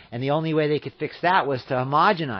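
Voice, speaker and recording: Talking at a very fast pace, a man with an American accent uses lively intonation and a fairly high pitch. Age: 60s. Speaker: radio show guest on farming. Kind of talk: radio talk interview. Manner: halting with repetitions.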